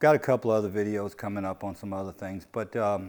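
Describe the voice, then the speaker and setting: On a very clean recording with a silent background, a man speaks with a fairly low pitch. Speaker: truck owner vlogger. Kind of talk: casual tutorial vlog. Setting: in a truck. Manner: slow; halting, many fillers and repeats.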